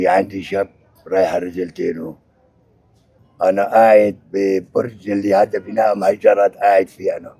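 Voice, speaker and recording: With a Syrian accent, a man speaks fairly slowly in a flat, monotone way. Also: fairly low pitch for a man. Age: 70s. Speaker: displaced elderly father. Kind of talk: street interview.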